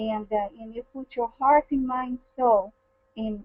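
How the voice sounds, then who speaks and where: Talking at a very slow pace, a woman with a non-native accent and a high pitch uses ordinary pitch variation. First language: not English. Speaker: network marketing team leader. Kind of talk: motivational testimony. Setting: webinar call. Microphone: echo on the line.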